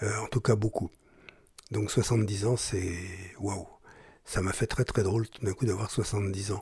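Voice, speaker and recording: A somewhat breathy voice moves at a moderate pace with long, frequent pauses and monotone, flat intonation. The recording is very clean, with a silent background. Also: man, fairly low pitch for a man. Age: 70s. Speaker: journalist and broadcaster. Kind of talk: testimony. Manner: halting.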